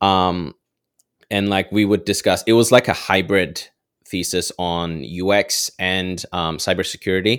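On a very clean recording with a silent background, the speaker talks fairly slowly with fairly even intonation. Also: man, very deep, low pitch for a man. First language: not English. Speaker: developer and content creator. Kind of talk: casual interview chat.

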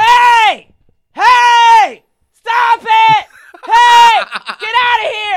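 Shouting in a put-on character voice, the speaker goes at a very slow pace with an extremely high pitch. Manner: shouting, commanding.

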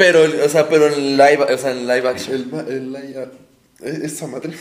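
Monotone, flat intonation at a moderate pace. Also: man, big swings in loudness. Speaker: guest co-host. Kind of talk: casual chat.

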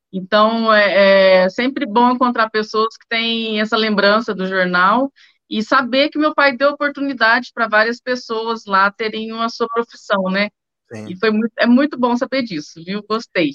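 Showing big swings in loudness, a woman talks at a fairly slow pace with a fairly high pitch and ordinary pitch variation. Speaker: journalist, newspaper editor. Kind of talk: casual interview. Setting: video call.

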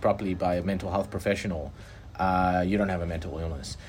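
With music in the background, a man speaks with a very deep, low pitch and ordinary pitch variation. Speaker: podcast host. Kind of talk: casual conversation about personal experiences.

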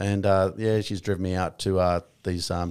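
With a strong Australian accent, a man speaks at a very deep, low pitch in a monotone, flat manner. The recording is very clean, with a silent background. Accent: broad Australian. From rural Victoria, Australia. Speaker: army veteran turned real estate agent. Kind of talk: casual interview chat.

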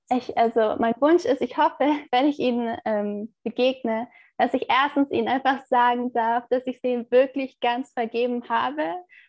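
Speaking at a fairly slow pace with hardly any pauses, a woman uses a high pitch with ordinary pitch variation. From Turkey. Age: 20s. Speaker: theology student. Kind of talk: interview.

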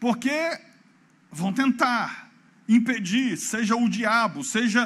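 A man's extremely high voice comes across animated, with ordinary pitch variation. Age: 40s. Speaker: pastor. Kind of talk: sermon.

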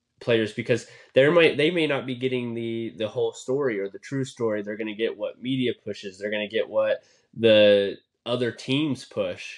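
Talking with a normal speaking voice, a man keeps a medium pitch and goes at a moderate pace. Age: 20s. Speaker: sports podcast host. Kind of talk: casual chat.

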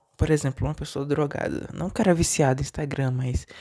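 Ordinary pitch movement in a man's voice, very cleanly recorded against a silent background. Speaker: solo podcaster. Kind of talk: personal monologue. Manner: deliberately lower, not forced pitch.

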